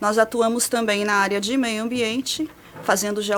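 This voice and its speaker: A fairly high-pitched woman with a São Paulo accent at a moderate pace, amid noticeable background noise. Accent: paulista. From São Paulo state, Brazil. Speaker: meteorologist. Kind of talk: radio interview. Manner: explanatory.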